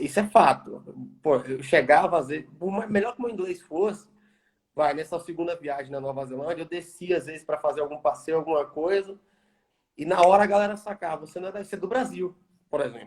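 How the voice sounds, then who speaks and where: A man with a strong Bahian accent speaks at a high pitch and a fairly quick pace. His loudness swings widely. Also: ordinary pitch variation. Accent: Bahia accent, strong. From Brazil, Bahia. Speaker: environmental engineer. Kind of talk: interview.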